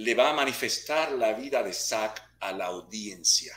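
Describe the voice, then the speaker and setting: His tone is bright and sharp, with vocal fry. The man speaks at a very slow pace. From Puerto Rico. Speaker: actor and martial arts instructor. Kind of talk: interview. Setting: video call.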